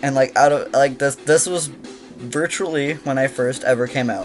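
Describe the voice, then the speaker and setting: A man with a fairly high pitch at a moderate pace, with music in the background. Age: young. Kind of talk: casual talk to camera.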